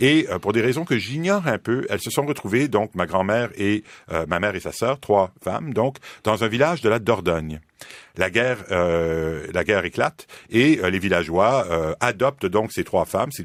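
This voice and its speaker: A man's fairly low voice with lively intonation at a moderate pace. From Quebec, Montreal. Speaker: philosophy professor. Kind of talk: radio interview. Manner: halting, many fillers.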